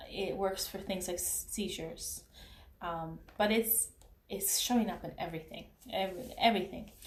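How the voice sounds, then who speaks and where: A woman with a non-native accent speaks at a moderate pace and medium pitch with ordinary pitch variation, amid noticeable background noise and audible room echo. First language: not English. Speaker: beauty consultant and vlogger. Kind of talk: casual vlog commentary. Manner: halting, many fillers and restarts.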